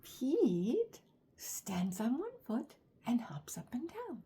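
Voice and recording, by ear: Speaking at a slow pace, a woman uses fairly high pitch with very wide pitch swings, a dark, mellow tone and a husky, rough edge.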